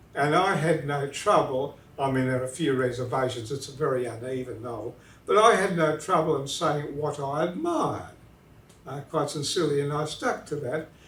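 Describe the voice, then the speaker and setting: A fairly high-pitched man with an Australian accent at a moderate pace, amid noticeable background noise and audible room echo. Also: ordinary pitch variation. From southern New South Wales, Australia. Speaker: literature professor. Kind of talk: interview. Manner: hesitant, many fillers.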